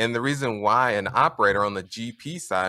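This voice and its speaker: Recorded very cleanly, dry and close with no echo and a silent background, a man with an American accent and a bright, sharp tone speaks at a moderate pace with ordinary pitch variation. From US Midwest, Indianapolis, Indiana. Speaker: real estate investor. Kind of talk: podcast interview.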